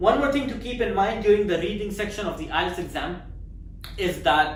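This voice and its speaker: A woman with a non-native accent speaks at a moderate pace with ordinary pitch variation, her voice carrying audible room echo over noticeable background noise. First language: not English. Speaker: exam prep tutor. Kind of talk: tutorial. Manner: hesitant, with fillers.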